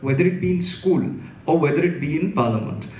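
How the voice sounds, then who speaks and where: A man talks with a high voice and ordinary pitch variation. There is audible room echo. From India, Mumbai. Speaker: interviewer. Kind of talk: onstage interview. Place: stage. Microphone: handheld.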